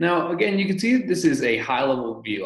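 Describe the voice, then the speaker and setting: Audible room echo surrounds a man talking at a very fast pace. The background is otherwise quiet. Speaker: presenter. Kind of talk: tutorial. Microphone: video call.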